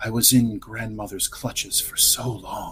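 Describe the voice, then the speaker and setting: Over clear background music, a man performs a put-on character voice at a medium pitch. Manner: soothing, wistful.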